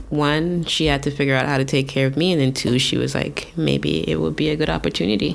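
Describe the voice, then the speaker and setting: A woman with a very deep, low pitch and vocal fry speaks at a very fast pace with hardly any pauses, her pitch swinging very widely while her loudness stays very even. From Saint Vincent and the Grenadines. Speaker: tattoo artist and painter. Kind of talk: casual interview chat. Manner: halting, many fillers.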